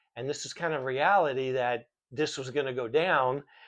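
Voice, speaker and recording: Speaking at a moderate pace with an American accent, a man with a fairly high pitch shows ordinary pitch variation over a quiet background. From US South, Miami, Florida. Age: 60s. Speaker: vlogger sharing life lessons. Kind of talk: casual monologue to camera. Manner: hesitant, many fillers.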